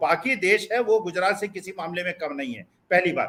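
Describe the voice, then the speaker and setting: A raised, projected voice with a bright, sharp tone, ordinary pitch variation and a moderate pace. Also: man. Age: 70s. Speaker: political commentator. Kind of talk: panel debate. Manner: animated.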